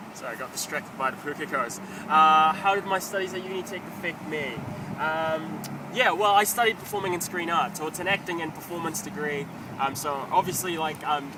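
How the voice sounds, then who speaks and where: Speaking with a New Zealand accent, a man talks at a fairly quick pace in a fairly high pitch with ordinary pitch variation. Audible room echo and noticeable background noise fill the recording. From New Zealand, Filipino-born, moved at eight. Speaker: actor and stand-up comedian. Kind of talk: casual interview answers. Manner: hesitant, many fillers.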